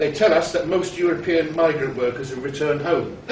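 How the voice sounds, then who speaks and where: A man talking at a very fast pace with ordinary pitch variation, amid noticeable background noise and audible room echo. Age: 60s. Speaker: party activist, retired police detective. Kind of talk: political speech.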